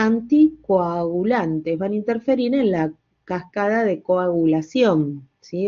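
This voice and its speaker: A woman at a medium pitch talks very slowly. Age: 60s. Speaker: pharmacology teacher. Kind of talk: lecture. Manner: halting, many fillers.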